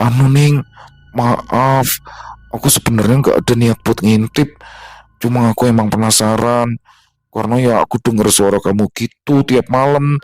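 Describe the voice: A man's shaky, put-on character voice at a medium pitch and moderate pace, with fairly even intonation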